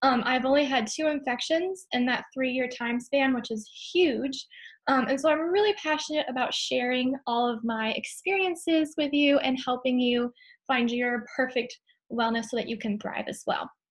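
A woman talks at a moderate pace in a high pitch. The background is quiet. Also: ordinary pitch variation. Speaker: host of a product class. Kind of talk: online class presentation. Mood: friendly, earnest. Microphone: webcam.

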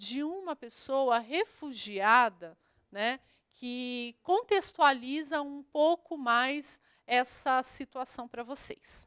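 A woman speaks very slowly in a high, bright, sharp voice. She raises and projects it, with lively intonation. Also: quiet background. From Brazil, Minas Gerais (Poços de Caldas); Minas Gerais, Brazil. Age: 30s. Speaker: geography teacher. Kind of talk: online lesson for school pupils. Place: studio. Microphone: handheld.

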